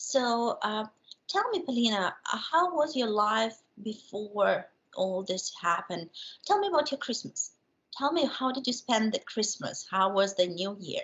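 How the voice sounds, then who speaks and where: With a Ukrainian accent, a woman speaks at a fairly slow pace in a fairly high voice with lively intonation. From Ukraine. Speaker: journalist and filmmaker. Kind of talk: interview. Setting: call. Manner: hesitant, many fillers.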